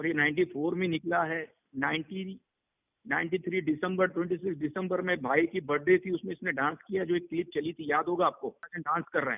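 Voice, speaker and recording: The man's pitch is high, with fairly even intonation. He keeps a moderate pace. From Mumbai, India. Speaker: underworld crime boss. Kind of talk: interview answer. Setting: phone line.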